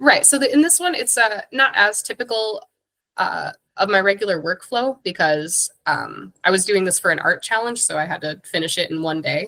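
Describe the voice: Using a put-on character voice, a woman speaks hoarsely at a moderate pace and medium pitch, with very wide pitch swings.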